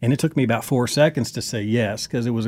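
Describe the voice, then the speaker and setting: A man with a Southern US accent talks at a very fast pace with ordinary pitch variation. The recording is very clean, with a silent background. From Kentucky. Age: 40s. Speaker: country singer and former reality TV cast member. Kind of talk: interview.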